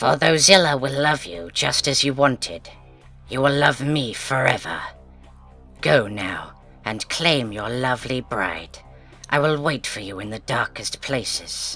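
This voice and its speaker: Clear music plays behind a man putting on a character voice. His pitch is medium and his pace fairly slow. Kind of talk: book reading. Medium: read story.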